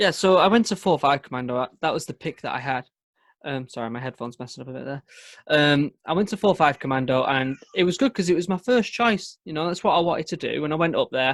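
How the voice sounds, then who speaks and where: In a northern English accent, the speaker races along at a very fast pace with lively intonation, the sound dry and close with no echo on a very clean recording with a silent background. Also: man, fairly high pitch for a man. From northern England, Manchester. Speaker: former Royal Marine commando. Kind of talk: podcast interview.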